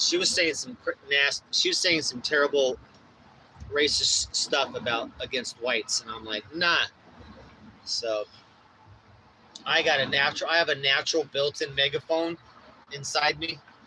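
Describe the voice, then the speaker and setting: A man's fairly high pitch at a moderate pace, with long, frequent pauses and noticeable background noise. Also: ordinary pitch variation. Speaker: DJ and livestreamer. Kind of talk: casual livestream chat. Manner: loud; animated.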